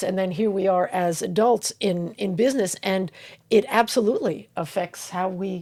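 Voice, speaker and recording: A woman with a New York accent speaks with ordinary pitch variation. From US Northeast, Long Island, New York. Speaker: podcast co-host. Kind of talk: casual chat.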